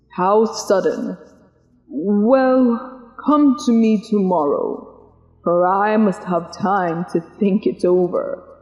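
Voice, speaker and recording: A put-on character voice talks at a very slow pace with a fairly high pitch. A clear echo follows the words. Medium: read story.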